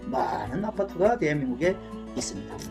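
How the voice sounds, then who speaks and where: A man's voice with music in the background. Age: 60s. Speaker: YouTuber. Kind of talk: casual talk to camera about music.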